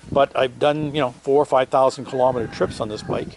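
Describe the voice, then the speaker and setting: Noticeable background noise runs under the recording. A man talks with fairly even intonation. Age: 60s. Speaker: motorcycle vlogger. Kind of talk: product review vlog. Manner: halting, many fillers.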